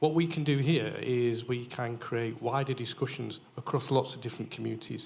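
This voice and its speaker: A man speaks in an ordinary speaking voice at medium pitch, keeping a moderate pace and fairly even intonation with hardly any pauses. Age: 60s. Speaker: audience member. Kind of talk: audience comment at Q&A.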